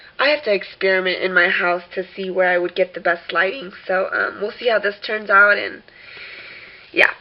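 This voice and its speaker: A woman's medium-pitched voice moves at a moderate speed with normal variation in tone, noticeable noise sounding behind her. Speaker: crafter selling handmade albums. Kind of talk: tutorial. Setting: home kitchen. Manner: casual, hesitant with many fillers.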